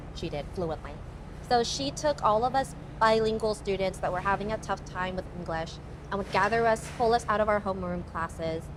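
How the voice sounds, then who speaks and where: With a Thai accent, a woman talks at a fairly quick pace in a medium-pitched voice with ordinary pitch variation over noticeable background noise. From Alaska, Anchorage. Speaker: pageant contestant. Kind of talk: casual chat.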